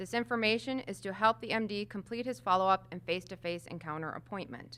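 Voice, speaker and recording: A loud voice races along at a very fast pace, its bright, sharp tone carried by lively intonation. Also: woman, medium pitch for a woman. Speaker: home health clinical manager. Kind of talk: conference presentation.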